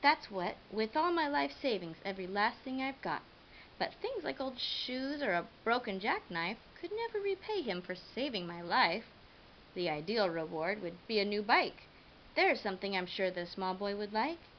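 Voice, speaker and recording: A woman's gruff put-on character voice at medium pitch and a moderate pace, with clear background noise. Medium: read story. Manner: gruff, snappish.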